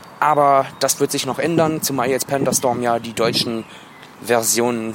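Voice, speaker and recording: Noticeable background noise accompanies a man speaking at a medium pitch. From Wuppertal, western Germany. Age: 20s. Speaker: listener applying to join the show. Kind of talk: recorded voice message.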